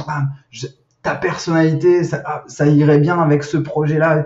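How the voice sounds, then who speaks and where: A man is speaking. His voice is somewhat breathy. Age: 30s. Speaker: sales manager in recruitment tech. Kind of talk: podcast interview. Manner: hesitant, many fillers and repetitions.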